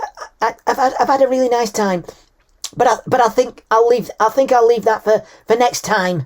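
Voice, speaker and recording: Using a put-on character voice, a woman speaks at a moderate pace in a fairly high, raspy voice with a nervous tone. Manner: nervous, hesitant.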